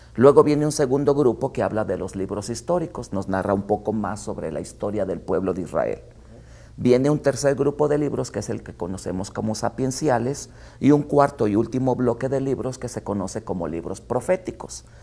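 A man speaks at a fairly quick pace. His tone is dark and mellow, with vocal fry. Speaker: guest theology teacher. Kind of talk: interview answer. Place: studio.

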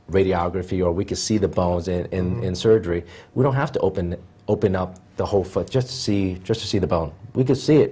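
Someone talks at a very fast pace in a dark, mellow, somewhat breathy tone with ordinary pitch variation. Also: man. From Philadelphia, Pennsylvania; Pennsylvania. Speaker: podiatrist; guest. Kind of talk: TV interview. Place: studio. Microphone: lapel.

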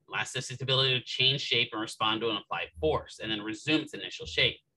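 Light noise hums in the background. A man's speech races along very quickly. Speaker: physical therapy instructor; instructor. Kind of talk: lecture. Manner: casual, conversational. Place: home room.

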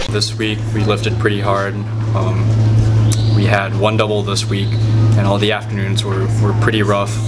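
A man talks at a moderate speed while clear music plays in the background. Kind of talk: interview answer. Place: hall.

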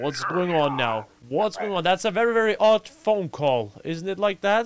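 At a moderate pace, a man talks in a high-pitched voice. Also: lively intonation.

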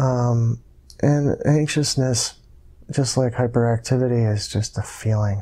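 A man with an American accent speaks at a fairly slow pace in a medium pitch, with fairly even intonation. His tone is dark, mellow and somewhat breathy, over a quiet background. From US, Buffalo New York area; New York. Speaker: hypnosis client. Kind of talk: hypnosis session narration. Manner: halting. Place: home room.

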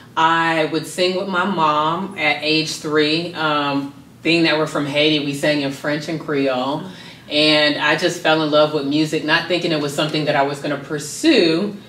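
A woman speaks with a very deep, low pitch in a monotone, flat intonation at a moderate pace. She has an American accent, and the room echo is audible. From US South, Miami, Florida. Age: 30s. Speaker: modeling school founder and professor. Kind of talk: interview. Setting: on location in Atlanta. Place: home room.

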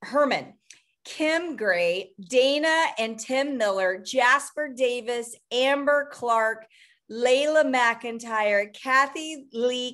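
Slowly, a woman speaks at a fairly high pitch. Her tone is fairly bright, with ordinary pitch variation.

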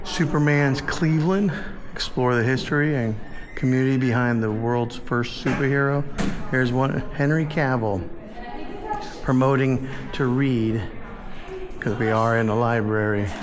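With noticeable background noise, a man speaks with long, frequent pauses. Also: ordinary pitch variation, moderate pace. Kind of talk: casual vlog chat. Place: hall.

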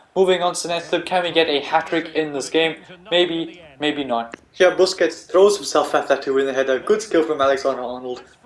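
A man with a fairly high pitch talks at a fairly quick pace and ordinary pitch variation, with noticeable background noise behind him. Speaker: video game youtuber. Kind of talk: gameplay commentary. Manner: soft-spoken, quiet.

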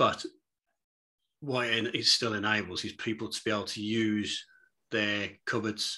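A man's fairly low, bright and sharp voice at a moderate pace against a quiet background. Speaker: guest. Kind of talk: interview answer. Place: home room. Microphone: video call.

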